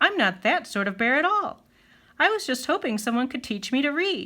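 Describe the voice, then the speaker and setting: A woman puts on a character voice at a high pitch, swinging very widely up and down at a moderate pace on a very clean recording with a silent background. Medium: read story.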